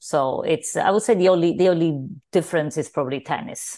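Against a quiet background, a woman with a Sicilian accent speaks with ordinary pitch variation. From Sicily, Italy. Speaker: business founder. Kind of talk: interview.

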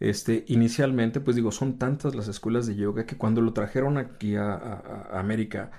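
A man speaks with a dark, mellow tone at a moderate pace. His intonation is fairly even, and the background is quiet. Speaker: yoga teacher and voice actor. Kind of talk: interview. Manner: halting, many fillers.

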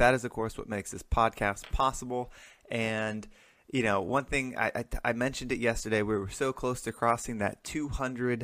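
Man with a normal speaking voice, medium pitch, fairly even intonation, and moderate pace, on a very clean recording with a silent background. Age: 30s. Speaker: podcast host. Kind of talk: motivational monologue. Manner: casual, frequent filler words.

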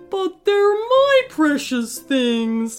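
A whiny, put-on character voice. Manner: whining.

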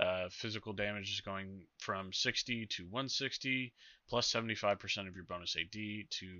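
A man with an ordinary speaking voice, fairly low-pitched, at a moderate pace. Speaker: guest. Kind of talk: casual chat about game patch notes.

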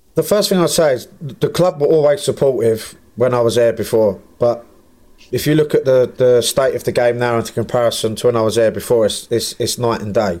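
Speaking in an English accent, a man uses a dark, mellow tone at medium pitch, with ordinary pitch variation and a fairly quick pace. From England. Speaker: football manager. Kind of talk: casual chat.

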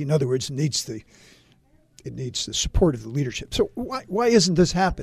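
A man speaks in a somewhat breathy voice. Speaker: political commentator and former Republican official. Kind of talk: radio interview on politics. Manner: formal.

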